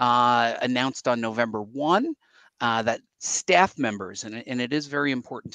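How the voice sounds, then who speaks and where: At a moderate pace, a man speaks in a bright, sharp tone, the sound dry with no echo. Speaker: show host. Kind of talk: live show commentary. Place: home room. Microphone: headset.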